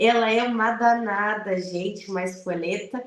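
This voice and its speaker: A woman speaks at a medium pitch with monotone, flat intonation and a southern Brazilian accent. Audible room echo and noticeable background noise surround her voice. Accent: gaúcho Brazilian Portuguese. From southern Brazil, Rio Grande do Sul (Piratini, Pelotas). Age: 40s. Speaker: lawyer. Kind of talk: radio interview.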